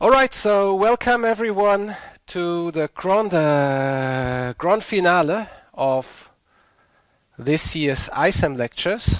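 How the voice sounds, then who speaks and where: With a high pitch and lively intonation, a man talks at a very slow pace. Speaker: university lecturer. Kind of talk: lecture.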